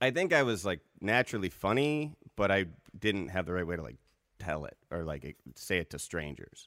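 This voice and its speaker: A man speaks in a very deep, low voice at a moderate pace. His pitch swings very widely. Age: 30s. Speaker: stand-up comedian and producer. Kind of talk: casual chat over beers. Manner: joking, bantering.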